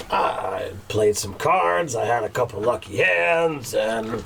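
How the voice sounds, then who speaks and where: A raspy, put-on character voice moves at a fairly slow pace over clear background noise. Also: man, medium pitch for a man. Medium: actual play.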